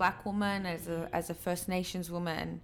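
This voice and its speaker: Speaking with an Australian accent, a woman uses a fairly low pitch and a monotone, flat intonation at a moderate pace. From Sydney, Australia (born in Peru, moved as infant). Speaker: DJ. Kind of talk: casual chat.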